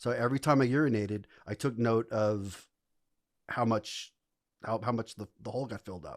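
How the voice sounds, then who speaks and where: Animated in tone, a man with a New York accent speaks with long, frequent pauses in a very clean recording with a silent background. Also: medium pitch for a man, fairly quick pace, big swings in loudness, dry, close sound with no echo. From New York City (the Bronx). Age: 60s. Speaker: English professor, psychedelics advocate. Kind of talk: podcast interview, storytelling. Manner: animated, halting with many repeats.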